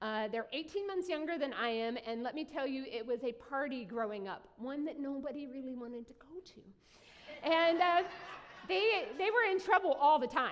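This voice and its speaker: The speaker talks in an Appalachian accent at a moderate pace. Lively intonation marks the delivery. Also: woman. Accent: Appalachian US Southern. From southern West Virginia. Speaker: pastor. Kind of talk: sermon. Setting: church.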